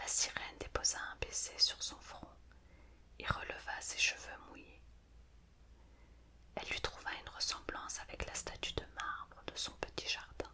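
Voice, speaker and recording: Over noticeable background noise, a whisper moves fairly slowly, broken by long, frequent pauses. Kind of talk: fairy tale reading. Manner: whispered; soft, calm.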